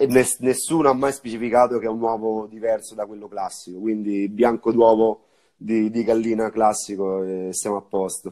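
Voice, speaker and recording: A man with a dark, mellow tone speaks at medium pitch and a moderate pace, his intonation fairly even. His loudness swings widely over a quiet background. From Viterbo, central Italy; central Italy. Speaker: bar owner and bartender; guest. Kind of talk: casual live-stream interview. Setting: Instagram live video call. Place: home room.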